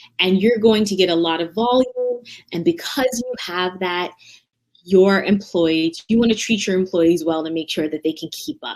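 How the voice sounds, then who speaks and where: A woman with an American accent has a plain, everyday voice, a medium pitch, ordinary pitch variation and a moderate pace. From New Jersey. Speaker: business consultant. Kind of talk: conference presentation. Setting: virtual conference.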